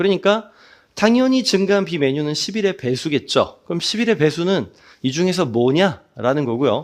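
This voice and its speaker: A quiet background surrounds the voice. Its pitch swings very widely. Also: man. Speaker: math exam-prep instructor. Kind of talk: lecture. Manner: fast.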